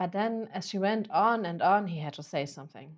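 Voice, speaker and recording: A woman with a non-native accent. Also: quiet background. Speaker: author reading own novel. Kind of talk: audiobook fiction reading. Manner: occasional stumbles over words.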